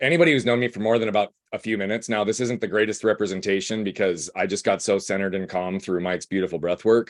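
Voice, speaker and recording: Energetic and very fast with hardly any pauses, a man talks at a fairly low pitch in a dry, close sound with no echo. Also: quiet background. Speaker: guest speaker, breathwork coach. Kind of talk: casual group-call talk, personal story.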